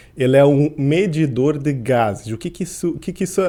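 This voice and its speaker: Fairly quick and with ordinary pitch variation, a man speaks in a dark, mellow tone. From Portugal (grew up there, born in Curitiba, Brazil). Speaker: endocrinologist and sports medicine doctor. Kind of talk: podcast interview.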